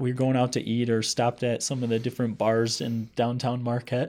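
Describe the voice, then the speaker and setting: In a very clean recording with a silent background, a man with an American accent talks at a medium pitch in a dark, mellow tone. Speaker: podcast host. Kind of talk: casual chat.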